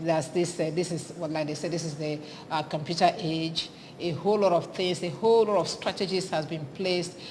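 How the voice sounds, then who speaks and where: Amid noticeable background noise and audible room echo, a woman with a Nigerian accent talks at a fairly quick pace, her fairly low pitch held to fairly even intonation. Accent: Nigerian Igbo English. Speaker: TV morning show host. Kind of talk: TV interview.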